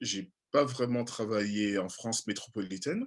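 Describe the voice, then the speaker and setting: Against a quiet background, a man speaks with an Antillean accent. His pitch is fairly low and his intonation fairly even. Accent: Antillean French accent, noticeable. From French Caribbean (Antilles). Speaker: journalist and TV presenter. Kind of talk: interview. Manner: halting, many fillers.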